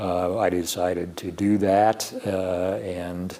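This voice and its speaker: There is noticeable background noise. A man talks at a fairly low pitch. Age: 70s. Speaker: chief justice of a state supreme court. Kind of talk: interview. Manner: halting, many fillers.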